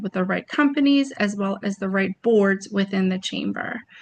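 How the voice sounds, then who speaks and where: Over a quiet background, a woman talks at a moderate pace in a normal speaking voice, with medium pitch and ordinary pitch variation. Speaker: trade promotion presenter. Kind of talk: webinar presentation. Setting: video webinar.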